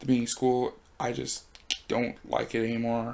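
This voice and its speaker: A man speaks in a soft voice. His pace is fairly slow. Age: 20s. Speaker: YouTuber and broadcasting student. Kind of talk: personal vlog monologue. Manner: soft-spoken; halting.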